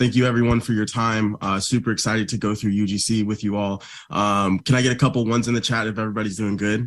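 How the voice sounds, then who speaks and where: A man talks at a very fast pace in a monotone, flat intonation. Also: fairly low pitch for a man, hardly any pauses, very clean recording, silent background. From Florida. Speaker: media buyer. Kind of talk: livestream presentation.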